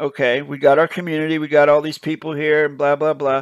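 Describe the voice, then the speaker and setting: A man is heard against a quiet background, the sound dry with no echo. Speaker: channel host reacting. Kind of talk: commentary.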